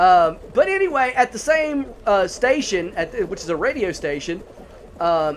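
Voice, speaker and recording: A man talks at a moderate pace in a Southern US accent, his pitch swinging very widely. Noticeable background noise runs behind him. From US South, North Carolina. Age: 40s. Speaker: gaming YouTuber and movie reviewer. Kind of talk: casual gameplay commentary and movie review. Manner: casual, filler-heavy.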